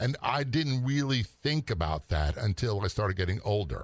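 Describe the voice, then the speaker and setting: A man has an unremarkable speaking voice at a medium pitch, talking at a fairly slow pace. The recording is very clean with a silent background. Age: 60s. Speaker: retired police officer and radio host. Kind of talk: casual chat.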